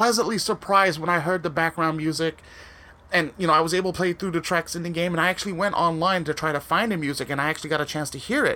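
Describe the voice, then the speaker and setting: A man's fairly high, bright, sharp and animated voice. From US West Coast, San Francisco Bay Area. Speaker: game reviewer podcast host. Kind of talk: casual chat.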